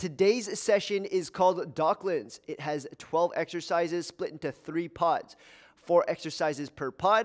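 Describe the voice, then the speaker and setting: A man's high-pitched voice at a moderate pace, with ordinary pitch variation over a quiet background. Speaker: fitness trainer. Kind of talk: workout intro to camera. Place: gym. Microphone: headset.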